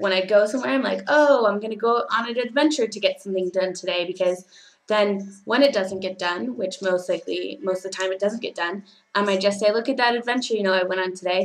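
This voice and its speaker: A woman talks very fast in a Californian accent. Her medium pitch has ordinary variation. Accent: Californian American English. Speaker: teaching assistant and au pair vlogger. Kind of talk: casual vlog monologue. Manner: hesitant, many fillers.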